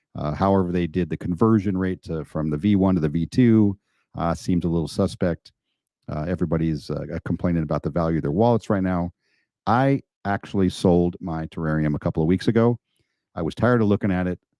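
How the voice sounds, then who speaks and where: A man talks at a very fast pace with ordinary pitch variation. His pitch is very deep and low. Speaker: crypto YouTuber. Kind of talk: live stream chat. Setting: live stream. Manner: soft-spoken.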